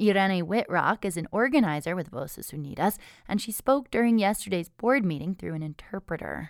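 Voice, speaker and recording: This plain, everyday voice moves at a fairly quick pace with lively intonation. The recording is very clean, with a silent background. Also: woman, medium pitch for a woman. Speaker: local public radio news host. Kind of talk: newsreading, scripted local radio newscast. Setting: radio studio. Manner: measured, even-paced newsreader delivery; clear, neutral, formal broadcast tone.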